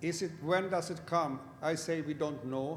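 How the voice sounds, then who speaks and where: Fairly high-pitched male voice at a fairly slow pace, with audible room echo. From Sweden. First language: Swedish. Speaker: lawyer. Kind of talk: panel discussion.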